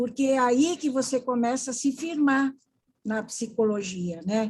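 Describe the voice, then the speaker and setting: A woman with a high voice talks at a fairly slow pace with ordinary pitch variation. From Paraná, Brazil. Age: 80s+. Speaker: psychologist and podiatrist. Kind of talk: interview.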